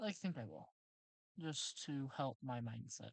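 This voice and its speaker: Her voice is very deep and low for a woman, with vocal fry and very wide pitch swings, in a dry, close sound with no echo. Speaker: livestreamer teaching design. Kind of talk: live stream tutorial. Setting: live stream at a laptop.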